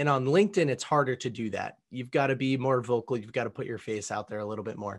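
A man's plain, everyday voice at a medium pitch with ordinary pitch variation, against a quiet background. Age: 20s. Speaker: entrepreneur and podcast host. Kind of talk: interview.

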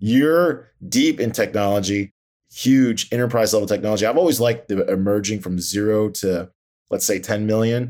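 With an ordinary speaking voice, a man speaks at a fairly low pitch, using ordinary pitch variation and a moderate pace. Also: very clean recording, silent background. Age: 40s. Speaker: guest podcast host. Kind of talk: interview, casual chat.

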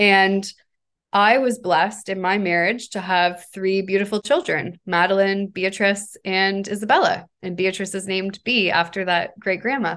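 A woman with a normal speaking voice talks at medium pitch in a Canadian accent. Her pace is moderate and her intonation fairly even. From Canada, Hamilton, Ontario. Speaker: company founder and CEO. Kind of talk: interview.

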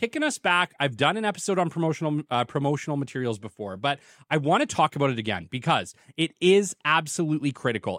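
A man with a Canadian accent and a normal speaking voice talks at a fairly quick pace, his pitch fairly high and intonation lively. The recording is very clean, with a silent background. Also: dry, close sound with no echo. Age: 30s. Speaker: podcast host, business development consultant. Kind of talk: solo podcast monologue. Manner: casual, conversational.

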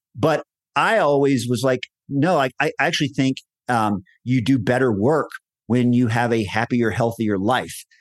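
A man with an American accent uses a plain, everyday voice at a moderate pace with ordinary pitch variation and very even loudness. The background is quiet, and the sound is dry and close with no echo. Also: medium pitch for a man. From Texas. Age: 50s. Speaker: entrepreneur. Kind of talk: interview conversation.

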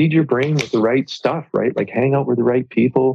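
A man talks at a fairly quick pace with vocal fry. His pitch is medium, with ordinary variation. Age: 50s. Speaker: entrepreneur. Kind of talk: casual chat.

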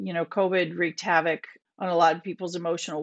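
A woman with an American accent speaks in a fairly low pitch, her voice dry and close with no echo over a quiet background. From Minnesota. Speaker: bereaved parent and prevention advocate. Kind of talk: podcast interview.

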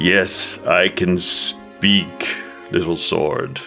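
A rumbling, put-on character voice with clear music in the background.

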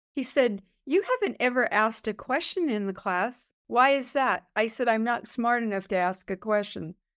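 In a very clean recording with a silent background, a woman with an American accent has a normal speaking voice, a fairly high pitch with ordinary variation, and a moderate pace. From US West Coast, East Los Angeles. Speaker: executive coach. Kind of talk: interview.

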